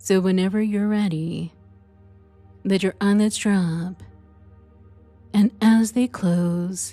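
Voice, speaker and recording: With music in the background, a woman at medium pitch speaks very slowly with fairly even intonation. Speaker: hypnotist. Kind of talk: sleep hypnosis session. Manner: slow, soft-spoken.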